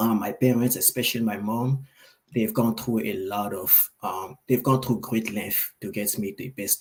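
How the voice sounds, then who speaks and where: At a moderate pace, a man speaks in a somewhat breathy medium pitch with fairly even intonation. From Ivory Coast. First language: French. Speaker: AI creator and author. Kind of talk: interview. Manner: soft-spoken.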